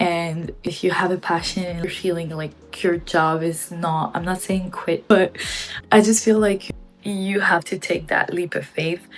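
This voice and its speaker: Music plays in the background as a woman with a non-native accent speaks at a fairly slow pace, her fairly low pitch held in a monotone, flat intonation. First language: not English. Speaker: gaming vlogger and former streamer. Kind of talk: personal vlog monologue.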